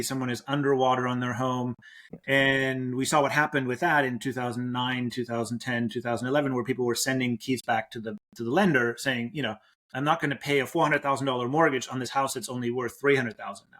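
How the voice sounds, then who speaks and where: A man talks at a very fast pace with medium pitch and fairly even intonation. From Germany. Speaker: company founder and CEO. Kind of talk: podcast interview.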